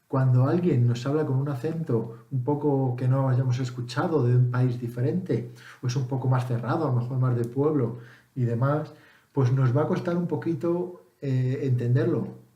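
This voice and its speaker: A man speaks with very even loudness and fairly even intonation. Room echo is audible. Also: medium pitch for a man, moderate pace. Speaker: English teacher vlogger. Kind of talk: casual tutorial. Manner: hesitant, with fillers and self-corrections.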